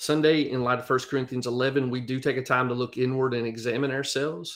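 Speaking fairly quickly with a Southern US accent, a man keeps a medium pitch and monotone, flat intonation. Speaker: pastor. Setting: video call.

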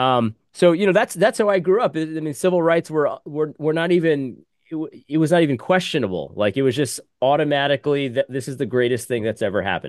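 In a normal speaking voice, a man talks fairly quickly against a quiet background. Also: dry, close sound with no echo. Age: 40s. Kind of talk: panel discussion.

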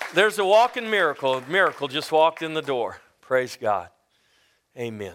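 A man speaks loudly at a fairly quick pace. His fairly high voice makes very wide pitch swings. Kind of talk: sermon. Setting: church. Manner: animated.

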